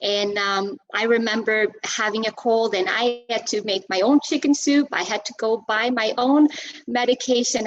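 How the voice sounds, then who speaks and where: A woman speaks in a fairly high pitch with a Portuguese accent. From Portugal. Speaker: Zumba instructor and personal trainer. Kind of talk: interview. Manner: halting, many fillers.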